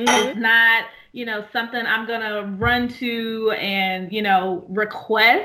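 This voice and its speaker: Here is a woman with an unremarkable speaking voice. She is fairly high-pitched and speaks at a fairly slow pace with fairly even intonation. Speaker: podcast co-host. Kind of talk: casual chat.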